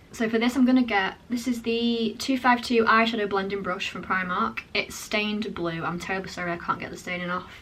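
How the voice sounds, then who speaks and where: Over noticeable background noise, a woman speaks with a British accent. Her pitch is medium, with ordinary variation. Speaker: makeup artist. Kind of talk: tutorial. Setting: home, changed location. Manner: fast.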